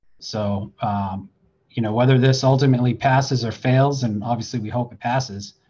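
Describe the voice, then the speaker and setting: With a dark, mellow tone and a somewhat breathy quality, a man speaks at medium pitch and a moderate pace, his intonation fairly even. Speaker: deputy fire chief. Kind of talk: panel discussion. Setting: at work, fire station with radio.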